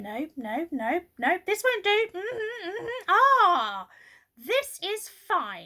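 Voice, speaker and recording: A put-on character voice moves at a very slow pace. Its pitch swings are very wide. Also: woman, extremely high pitch for a woman. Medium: read story. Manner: brisk, officious.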